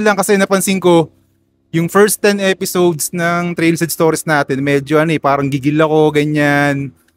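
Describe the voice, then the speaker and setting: Recorded with a dry, close sound and no echo, a man with a high voice and ordinary pitch variation speaks at a fairly quick pace. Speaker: podcast host. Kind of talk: casual interview chat. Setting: outdoors at a BMX track.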